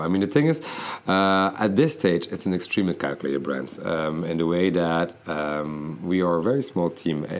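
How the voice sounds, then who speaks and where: Against noticeable background noise, a man with a very deep, low voice speaks at a fairly quick pace. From Belgium (Bruges, Flanders). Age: 30s. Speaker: fashion designer. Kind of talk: interview. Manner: halting.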